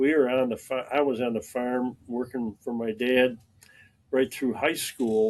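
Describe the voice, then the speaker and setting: A man with a Western New York accent, medium in pitch, at a fairly slow pace. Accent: Western New York American. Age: 80s+. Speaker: retired farm-raised local resident, army veteran. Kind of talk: casual interview. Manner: halting with frequent fillers.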